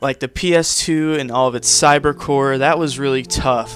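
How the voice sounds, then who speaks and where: Music plays behind a man speaking at a moderate pace. His medium-pitched voice keeps a fairly even intonation. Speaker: gaming YouTuber. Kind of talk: casual vlog monologue.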